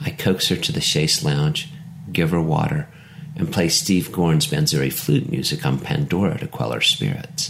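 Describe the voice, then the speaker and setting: Against noticeable background noise, a man with a fairly low pitch speaks at a moderate pace, his voice making very wide pitch swings. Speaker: poet and author. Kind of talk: poem performed, then reflective essay-style reading. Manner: measured, lyrical, contemplative.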